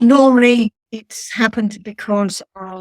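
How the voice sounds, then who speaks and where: A woman at a fairly slow pace with fairly even intonation, in dry, close sound with no echo. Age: 60s. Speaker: patient sharing experience of rare disease. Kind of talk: interview.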